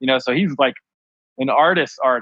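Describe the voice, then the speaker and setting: This man's voice sits at a medium pitch, in an American accent. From Ohio. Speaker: clothing designer. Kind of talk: casual chat. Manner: animated.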